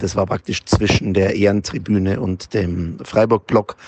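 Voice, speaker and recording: A man with a fairly low pitch speaks at a moderate pace in a monotone, flat intonation, with noticeable background noise behind him. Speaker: football fan. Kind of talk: voice message. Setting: in a car.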